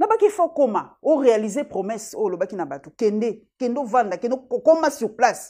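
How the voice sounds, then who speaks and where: Her pitch is high and swings very widely, with a dark, mellow tone and a quiet background. The woman talks at a fairly slow pace with hardly any pauses. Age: 50s. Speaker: journalist. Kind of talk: interview.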